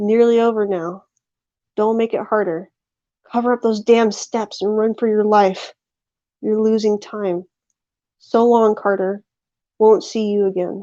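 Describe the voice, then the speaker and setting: A woman puts on a character voice, hoarse and fairly high, with monotone, flat intonation. She moves at a moderate pace with long, frequent pauses against a quiet background. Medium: read story. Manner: hoarse, frantic.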